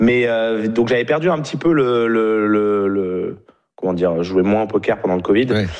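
In an ordinary speaking voice, a man talks at a moderate pace with a fairly low pitch and ordinary pitch variation. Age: 30s. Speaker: professional poker player and vlogger. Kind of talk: casual chat.

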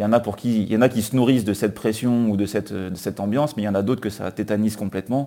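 A man speaks very fast with hardly any pauses, his fairly low voice dark and mellow in tone. His intonation stays fairly even, and the recording is very clean with a silent background. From France, near Grenoble. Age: 30s. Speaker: football writer. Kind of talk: interview. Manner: halting.

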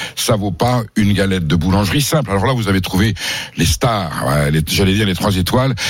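A man talks at a fairly quick pace in a fairly low pitch, with ordinary pitch variation and very even loudness. Audible room echo and noticeable background noise are present. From southern France. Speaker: food columnist. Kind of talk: radio chat; recipe tutorial.

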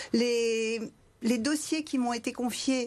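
Against a quiet background, the speaker talks at a very slow pace with ordinary pitch variation. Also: woman. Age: 60s. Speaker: member of parliament. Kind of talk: televised political debate.

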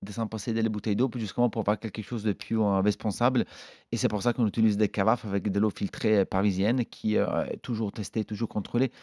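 A man with an Italian accent speaks at a fairly quick pace in a fairly low pitch, his tone dark and mellow and his intonation fairly even. The recording is very clean, with a silent background and a dry, close sound with no echo. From northern Italy. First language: Italian (speaking French). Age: 40s. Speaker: chef. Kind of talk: interview. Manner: halting, with many hesitations.

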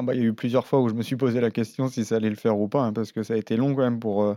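Medium pitch from a man with a dark, mellow tone and monotone, flat intonation, set against a quiet background with a dry, close sound and no echo. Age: 30s. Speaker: professional cyclist. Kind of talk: interview.

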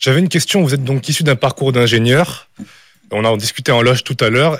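A man with a plain, everyday voice speaks at a fairly quick pace, his medium pitch showing ordinary variation. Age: 20s. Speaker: engineering student. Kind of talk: radio interview.

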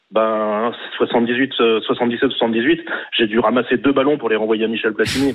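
Here a man speaks at a very slow pace. His intonation stays fairly even. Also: medium pitch for a man, very even loudness. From France, Nancy. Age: 50s. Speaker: radio caller. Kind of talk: call-in.

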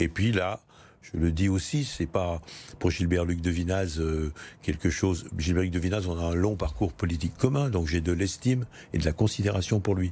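This man's voice is very deep and low, somewhat breathy, with a dark, mellow tone. He talks at a moderate pace with ordinary pitch variation. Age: 70s. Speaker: mayor and politician. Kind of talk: political interview. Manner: halting, with frequent hesitations.

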